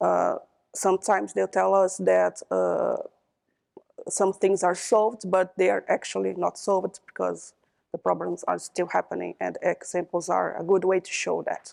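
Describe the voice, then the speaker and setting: A woman talks at a moderate pace with a Brazilian Portuguese accent. The sound is dry and close, with no echo. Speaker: computer scientist, panelist. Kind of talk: panel discussion. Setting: conference stage with audience. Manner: halting, many fillers and repetitions.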